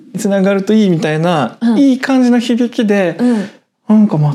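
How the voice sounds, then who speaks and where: This man's voice sits high in pitch and moves through very wide pitch swings. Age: 20s. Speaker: web writer and podcast co-host. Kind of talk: casual chat.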